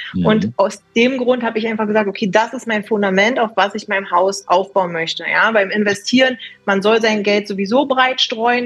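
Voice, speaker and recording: A woman with an ordinary speaking voice talks at a moderate pace. Her pitch is fairly high, and her intonation is fairly even. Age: 20s. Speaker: precious metals consultant. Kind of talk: interview.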